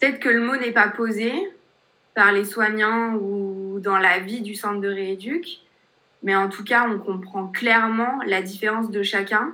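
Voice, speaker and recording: A woman talks at a fairly slow pace with fairly even intonation. Her voice carries audible room echo. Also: medium pitch for a woman. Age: 20s. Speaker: life coach with paraplegia. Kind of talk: interview testimony.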